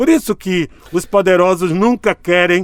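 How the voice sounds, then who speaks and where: Ordinary pitch variation in a man's high voice. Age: 60s. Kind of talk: interview.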